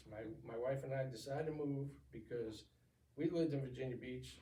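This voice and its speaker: A man with a medium pitch talks at a moderate pace with fairly even intonation, and the room echo is audible. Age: 60s. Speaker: retired navy veteran. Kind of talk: interview. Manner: halting.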